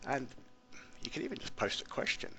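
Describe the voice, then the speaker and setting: The voice has a bright, sharp tone and an English accent. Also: man. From England. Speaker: teacher. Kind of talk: screencast tutorial. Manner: casual, many fillers.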